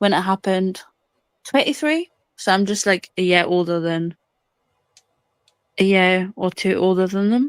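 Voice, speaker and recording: The speaker has an English accent and a moderate pace, with long, frequent pauses and ordinary pitch variation. The recording is very clean, with a silent background and a dry, close sound with no echo. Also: woman, medium pitch for a woman. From northern England, near the Scottish border. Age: 20s. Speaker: caller. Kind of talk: casual chat.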